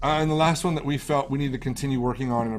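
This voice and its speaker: Ordinary pitch variation, with audible room echo. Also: man. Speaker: pastor. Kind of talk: church meeting presentation. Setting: video call. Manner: fast.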